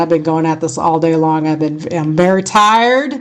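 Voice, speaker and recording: Against a quiet background, a woman with an American accent speaks in a fairly low pitch. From California. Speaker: radio host. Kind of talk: casual chat.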